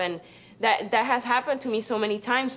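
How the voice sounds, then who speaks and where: With a Spanish accent, a woman talks at a very fast pace in a fairly even intonation. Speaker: university student. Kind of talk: group discussion testimony. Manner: halting.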